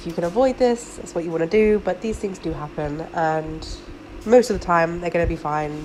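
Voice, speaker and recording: A woman speaks with ordinary rise and fall in her pitch. Music plays in the background. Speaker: hobby aquarist. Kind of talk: tutorial talk to camera. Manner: casual, many filler ums.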